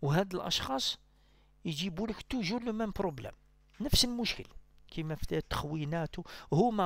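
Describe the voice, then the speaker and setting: In a dry recording with no echo and a quiet background, a man speaks with very wide pitch swings. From Algeria. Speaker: political commentator. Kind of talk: political monologue. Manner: halting. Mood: critical, argumentative. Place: home room.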